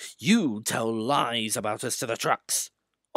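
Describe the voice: Plain reading aloud with a quiet background.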